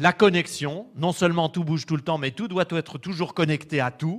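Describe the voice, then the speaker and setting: On a very clean recording with a silent background, a man with a fairly high voice and vocal fry speaks at a moderate pace. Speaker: lecturer. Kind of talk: lecture. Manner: formal.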